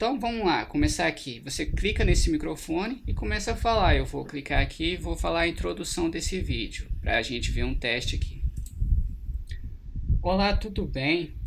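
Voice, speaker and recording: Noticeable background noise sits behind the recording. A man talks at a moderate pace. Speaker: tech tutorial youtuber. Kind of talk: tutorial. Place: home room. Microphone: external mic beside laptop; webcam.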